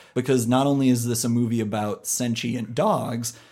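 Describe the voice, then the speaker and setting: A man talks at a moderate pace with an American accent. His voice is medium in pitch with fairly even intonation. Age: 20s. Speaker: film podcast host. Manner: self-deprecating, jokey.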